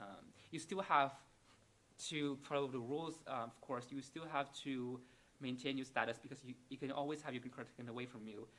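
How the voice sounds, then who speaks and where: Fairly quick and bright, with a sharp tone, this man's voice sits at medium pitch. His intonation stays fairly even. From Vietnam, Hanoi. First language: Vietnamese. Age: 20s. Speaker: psychiatric nurse. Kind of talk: interview. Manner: halting, many repetitions and fillers.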